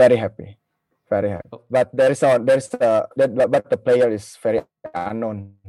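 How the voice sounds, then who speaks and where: Speaking at a moderate pace in an Indonesian accent, a man swings widely in loudness, recorded with a dry, close sound and no echo. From Indonesia (Jakarta). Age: 30s. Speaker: football fan. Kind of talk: casual interview. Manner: halting.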